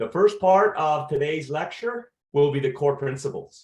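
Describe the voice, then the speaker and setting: This is a man's voice. His pitch sits fairly high. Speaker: veterinary lecturer. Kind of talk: lecture.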